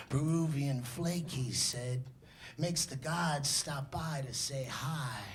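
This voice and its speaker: Audible room echo surrounds a man with a New York accent who speaks very slowly with ordinary pitch variation. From New York City. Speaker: slam poet. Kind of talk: spoken word performance. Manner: animated.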